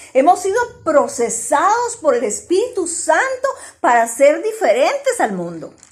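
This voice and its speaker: A woman's voice with very wide pitch swings at a very slow pace. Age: 60s. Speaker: church teacher. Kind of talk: religious teaching in group discussion.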